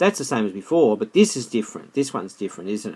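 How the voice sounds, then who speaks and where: Here a man is speaking. He has an Australian accent. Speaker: maths teacher. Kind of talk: tutorial. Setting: screencast recording. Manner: halting, self-correcting.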